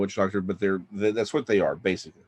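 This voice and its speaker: A man with a Texan accent talks at a fairly low pitch. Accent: Texan American. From Texas. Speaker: author. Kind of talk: storytelling in a panel chat. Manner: halting, many fillers.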